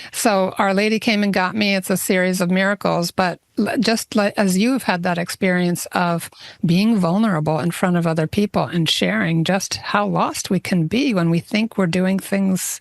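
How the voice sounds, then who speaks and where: A woman with an unremarkable speaking voice talks at medium pitch and a moderate pace, with ordinary pitch variation and very even loudness, in a dry, close recording with no echo and a quiet background. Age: 60s. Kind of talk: casual chat.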